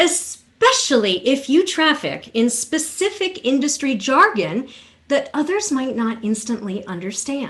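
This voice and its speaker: A woman speaks with a high pitch at a fairly slow pace. Her pitch swings very widely. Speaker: keynote speaker and voice coach. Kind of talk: keynote speech. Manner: clear, deliberate enunciation; varied volume and range.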